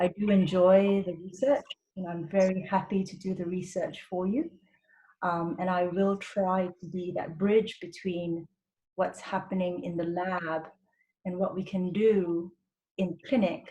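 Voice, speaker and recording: Speaking at a fairly slow pace, a woman with an unremarkable speaking voice keeps a medium pitch and fairly even intonation. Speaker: doctor. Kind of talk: webinar presentation.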